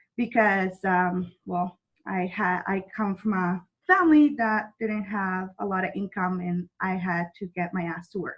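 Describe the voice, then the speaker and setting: A woman speaks in a Mexican accent. Her voice is medium in pitch and somewhat breathy. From Mexico, rural. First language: Spanish. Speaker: network marketing distributor. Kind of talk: motivational talk. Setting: video call.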